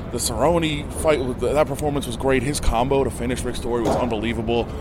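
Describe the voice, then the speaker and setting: Music plays in the background as a man with a medium pitch talks at a fairly quick pace with ordinary pitch variation. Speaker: newspaper journalist. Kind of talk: post-fight interview.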